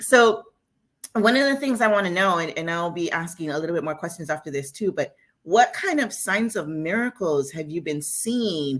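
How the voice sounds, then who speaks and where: Her pitch fairly low for a woman, she speaks with lively intonation at a moderate pace. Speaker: women's ministry leader. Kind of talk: live stream interview. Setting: live stream.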